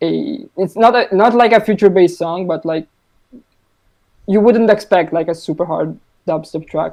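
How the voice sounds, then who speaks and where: A man with a high pitch speaks at a moderate pace, leaving long, frequent pauses. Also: ordinary pitch variation. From Italy. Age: 20s. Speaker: music producer. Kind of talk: podcast interview. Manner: halting.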